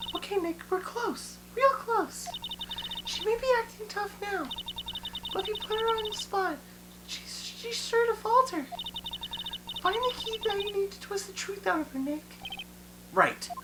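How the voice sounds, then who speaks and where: An extremely high-pitched put-on character voice speaks at a moderate pace with long, frequent pauses. Background noise is clearly audible. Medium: game stream. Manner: encouraging, familiar.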